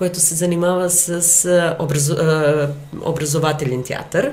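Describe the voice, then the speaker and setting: Someone speaks at a moderate pace in a Serbian accent, with audible room echo and noticeable background noise. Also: woman. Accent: Serbian accent in Bulgarian, noticeable. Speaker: actress and theatre director. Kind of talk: interview. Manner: hesitant, with fillers.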